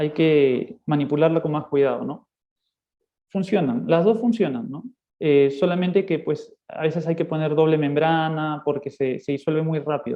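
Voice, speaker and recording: A man speaks at a moderate pace in an unremarkable speaking voice. His pitch varies in an ordinary way. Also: fairly high pitch for a man. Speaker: ophthalmologist. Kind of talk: lecture; casual chat. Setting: video call.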